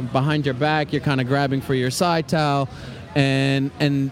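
Amid noticeable background noise, a man with an American accent speaks at medium pitch. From New York City, Queens. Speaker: chef and restaurant owner. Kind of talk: casual interview. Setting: press tent at a festival, rainy.

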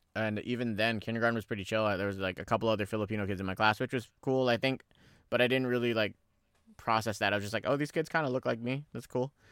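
This man has a Californian accent and speaks very fast. His intonation stays fairly even. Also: medium pitch for a man. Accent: Californian American English. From San Francisco Bay Area, California (born in the Philippines). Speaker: podcast co-host. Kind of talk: casual chat.

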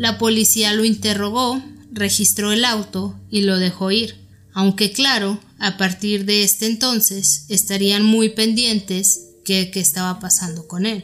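Her voice is a normal speaking voice, medium in pitch for a woman, with fairly even intonation and very even loudness. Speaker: podcast host. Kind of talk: true-crime narration. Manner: steady, even, documentary-style delivery.

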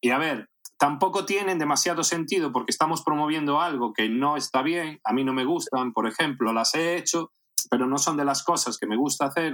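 A man's ordinary speaking voice, fairly high in pitch, at a fairly quick pace with ordinary pitch variation. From Spain, A Coruña (raised from age eight, born in Caracas). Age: 40s. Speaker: adult film actor. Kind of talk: casual interview.

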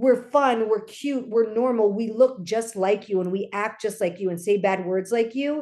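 At a moderate pace and with hardly any pauses, a woman with an American accent speaks in a dark, mellow tone, her fairly high pitch showing ordinary variation. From Los Angeles, US. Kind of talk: casual interview.

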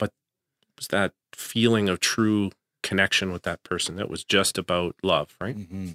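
A man with a Canadian accent speaks at a moderate pace in a fairly low voice with a bright, sharp tone and fairly even intonation. His loudness swings widely, in a dry, close sound with no echo. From Canada. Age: 50s. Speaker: school principal. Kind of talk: interview.

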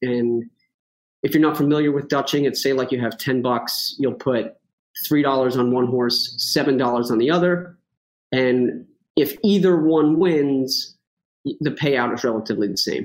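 A man with a strong New York accent talks in a fairly high pitch with ordinary pitch variation. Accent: thick New York. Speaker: horse racing handicapper. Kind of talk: casual chat. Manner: fast.

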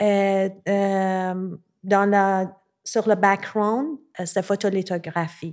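Speaking at a very slow pace, a woman with a Persian accent uses a medium pitch on a very clean recording with a silent background. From Iran, Tehran. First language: Persian (speaking French). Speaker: visual artist. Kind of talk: interview conversation. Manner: halting.

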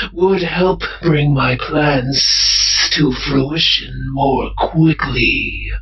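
Using a put-on character voice, a man speaks at a fairly high pitch and a very slow pace. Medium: audio drama. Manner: terse, cold.

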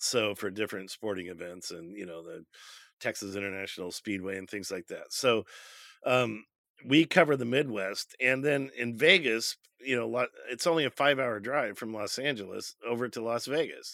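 On a very clean recording with a silent background and a dry, close sound with no echo, a man speaks at a medium pitch and a moderate pace, his bright, sharp tone carrying lively intonation and big swings in loudness. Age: 60s. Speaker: F1 podcast co-host. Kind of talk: casual chat.

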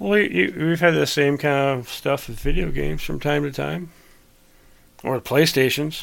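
With lively intonation and a moderate pace, a man talks in an ordinary speaking voice at a fairly high pitch. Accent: American. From Michigan, US. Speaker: podcast host.

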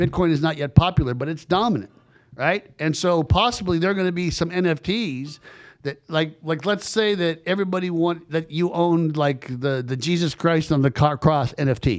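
An unremarkable speaking voice from a man, fairly high in pitch, with ordinary pitch variation at a moderate pace. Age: 50s. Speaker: podcast host, recruiter. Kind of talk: casual chat.

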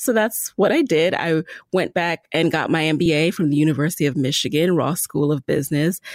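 A woman with a normal speaking voice, fairly low in pitch, with ordinary pitch variation, very even loudness and a fairly quick pace, on a very clean recording with a silent background and a dry, close sound with no echo. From US, the Bronx, New York (born in Jamaica). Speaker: podcast host and entrepreneur. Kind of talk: interview.

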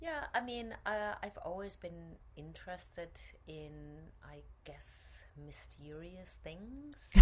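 Over noticeable background noise, a woman with a medium pitch speaks at a very slow pace using lively intonation. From Germany. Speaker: actor and director. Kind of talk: casual interview chat. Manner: animated, humorous, reflective.

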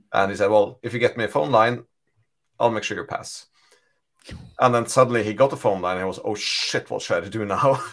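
A man speaks at a medium pitch with a Norwegian accent and ordinary pitch variation. His pace is fairly quick, broken by long, frequent pauses. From Norway. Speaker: data architect. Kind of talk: casual chat.

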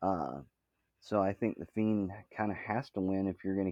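This man has a plain, everyday voice with fairly low pitch. He talks at a moderate pace with ordinary pitch variation. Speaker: podcast co-host. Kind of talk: casual chat. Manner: joking, humorous.

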